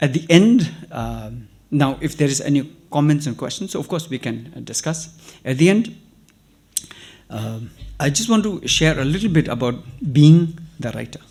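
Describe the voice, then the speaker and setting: A man speaks at a moderate pace in a fairly high voice with lively intonation. He leaves long, frequent pauses. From Tibetan refugee community in India. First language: Tibetan. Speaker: writer and activist. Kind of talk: invited talk to students.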